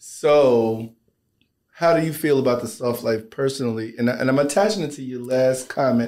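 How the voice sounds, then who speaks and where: A man with an American accent and a normal speaking voice, at a medium pitch, moderate pace and ordinary pitch variation. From United States. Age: 30s. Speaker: author and business partner. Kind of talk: casual chat.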